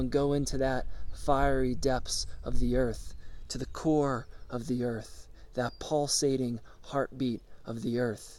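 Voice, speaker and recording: Putting on a character voice, a man talks at a fairly slow pace in a medium pitch. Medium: solo performance. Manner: insistent, repetitive, commanding.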